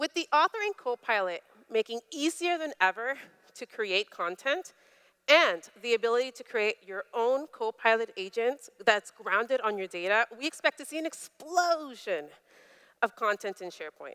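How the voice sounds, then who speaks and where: A woman's bright, sharp, animated voice, fairly high, with a Spanish accent, very wide pitch swings and big swings in loudness, at a moderate pace, dry and close with no echo. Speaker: tech company presenter. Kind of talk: product demo keynote.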